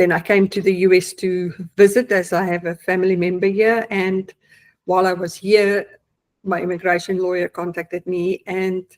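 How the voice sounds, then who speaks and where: Spoken with a South African accent at a moderate pace, the delivery is monotone with flat intonation. The recording is very clean, with a silent background. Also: woman, medium pitch for a woman. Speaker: client giving testimonial, accountant. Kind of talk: testimony. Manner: hesitant, many fillers.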